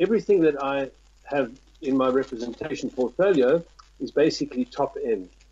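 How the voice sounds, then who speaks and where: A man with a South African accent, fairly high pitch, lively intonation, and a fairly quick pace. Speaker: tourism representative. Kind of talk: interview. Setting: Skype call. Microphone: possible crackle on Skype line.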